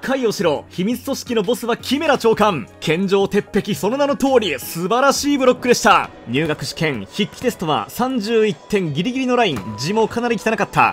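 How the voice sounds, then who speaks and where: Lively, high-pitched male voice at a fairly quick pace with hardly any pauses, music in the background. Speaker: former TV announcer, esports caster and YouTuber. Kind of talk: sports play-by-play commentary with comedic asides. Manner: crisp, fast, professional announcer delivery.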